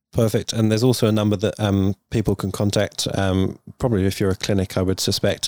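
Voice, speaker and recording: Fairly low-pitched male speech, monotone and flat, at a fairly quick pace with very even loudness, a dry, close sound with no echo and a very clean recording with a silent background. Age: 40s. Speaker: cosmetic doctor, podcast host. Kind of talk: interview.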